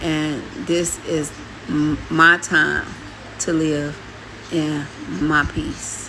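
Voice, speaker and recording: A woman with a very deep, low pitch talks at a very slow pace in a monotone, flat intonation, leaving long, frequent pauses, with noticeable background noise and audible room echo. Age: 60s. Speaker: vlogger and adoptive mother. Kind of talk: casual storytime vlog.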